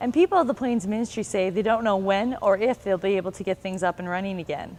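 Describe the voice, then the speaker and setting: Speaking at a fairly quick pace, a woman has a plain, everyday voice at a medium pitch. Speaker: student reporter. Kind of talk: news report.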